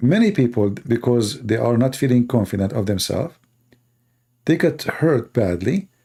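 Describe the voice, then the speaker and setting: A man talks at a moderate pace and medium pitch with lively intonation, a dark, mellow tone, and a somewhat breathy quality. The recording is very clean, with a silent background. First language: not English. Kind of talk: casual talk to live audience. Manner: animated.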